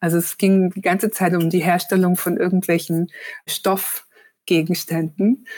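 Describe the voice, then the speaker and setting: A woman at a medium pitch, flat and monotone in intonation, speaking fairly slowly. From Germany, northern Hesse near Kassel. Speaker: journalist and author. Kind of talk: casual interview. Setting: video call.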